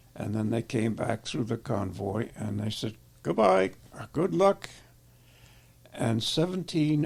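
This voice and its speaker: A man talks very slowly at a medium pitch, sounding somewhat breathy. His intonation is lively. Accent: American. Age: 80s+. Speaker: war veteran. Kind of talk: interview answer.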